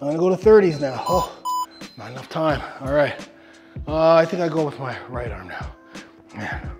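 Clear music plays in the background while a man speaks at a moderate pace with big swings in loudness. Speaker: fitness trainer. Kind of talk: workout instruction while exercising. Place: gym.

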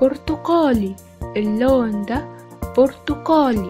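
A woman with an Egyptian accent, fairly high-pitched, with lively intonation at a very slow pace over music in the background. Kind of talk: children's educational speech-therapy narration. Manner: slow, clear, repetitive.

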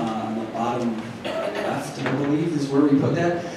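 Strong room echo and noticeable background noise fill the clip. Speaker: conference organizer. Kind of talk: announcements. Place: hall. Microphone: pa.

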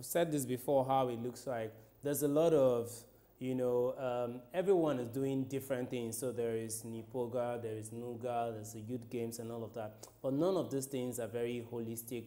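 Against music in the background, a man of medium pitch talks at a moderate pace with fairly even intonation. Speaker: sports TV presenter. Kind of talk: studio sports news show with pundit discussion. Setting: TV studio.

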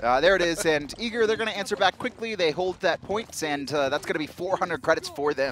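Over noticeable background noise, a man talks at a high pitch and a fairly quick pace with hardly any pauses. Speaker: esports commentator. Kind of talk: live esports commentary, play-by-play. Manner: fast, urgent play-by-play, pointing out action as it happens.

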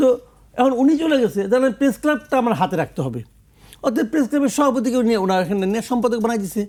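This man's voice is extremely high. Lively intonation runs through his speech. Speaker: senior journalist. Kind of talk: talk show discussion.

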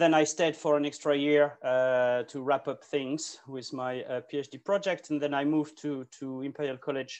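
Against a quiet background, a man talks at a moderate pace in a flat monotone, with hardly any pauses. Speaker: presenter. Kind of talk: conference talk. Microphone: video call.

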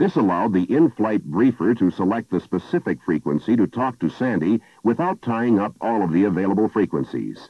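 Over a quiet background with a dry sound and no echo, a man talks at a moderate pace in an ordinary speaking voice, pitched fairly low. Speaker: film narrator. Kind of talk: instructional narration.

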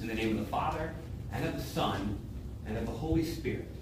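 Noticeable background noise and audible room echo around a male voice. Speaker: pastor leading worship. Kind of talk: liturgical reading. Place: church. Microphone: camera far.

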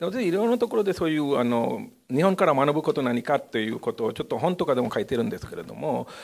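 A man with a fairly high voice races along at a very fast pace with hardly any pauses and very wide pitch swings against a quiet background. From India. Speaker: university professor. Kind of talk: panel discussion. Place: meeting room. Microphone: podium.

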